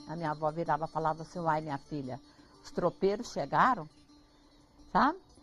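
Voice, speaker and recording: A woman's voice with music playing in the background. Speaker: farm owner and traditional cook. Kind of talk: interview. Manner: animated.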